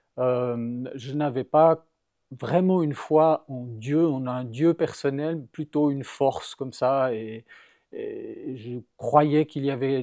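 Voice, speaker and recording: A man speaks very slowly in a dark, mellow tone, his pitch fairly high for a man. His intonation stays fairly even, and the sound is dry and close with no echo. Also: very clean recording, silent background. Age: 60s. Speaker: churchgoer giving his faith story. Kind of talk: testimony. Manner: halting, many hesitations.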